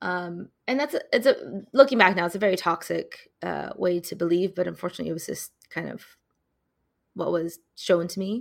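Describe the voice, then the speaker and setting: A woman with a Californian accent at a moderate pace, big swings in loudness, in a very clean recording with a silent background. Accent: Californian American. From Southern California (Loma Linda), Chinese Malaysian family. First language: Mandarin Chinese. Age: young. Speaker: emergency medicine resident physician. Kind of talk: interview conversation.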